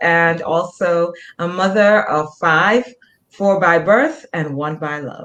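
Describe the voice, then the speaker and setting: The voice carries a Jamaican accent. Its pitch variation is ordinary. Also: woman. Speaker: nurse practitioner, author and motivational speaker. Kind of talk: interview. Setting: online video show.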